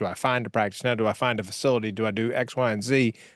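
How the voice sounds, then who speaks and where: A man speaks at a medium pitch. The sound is dry and close with no echo, over a quiet background. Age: 50s. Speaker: dentist podcast co-host. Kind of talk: podcast interview.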